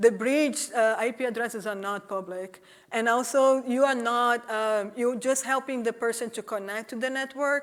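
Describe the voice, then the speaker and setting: A woman with a Portuguese accent and a fairly high pitch, at a moderate pace with fairly even intonation and hardly any pauses, in a very clean recording with a silent background. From Brazil. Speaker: executive director of a privacy nonprofit. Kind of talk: conference talk; audience Q&A.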